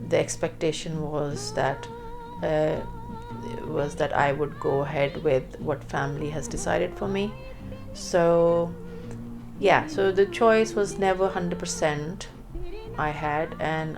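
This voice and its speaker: A woman speaks at a fairly slow pace with long, frequent pauses. Music plays in the background. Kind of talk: interview answer.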